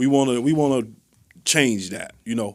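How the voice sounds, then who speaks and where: A man speaks with an American accent at a moderate pace. His intonation is fairly even, and the recording is very clean with a silent background. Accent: sounds like a New Yorker, also called country. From Chicago West Side. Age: 40s. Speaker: independent hip hop artist. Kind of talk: interview conversation.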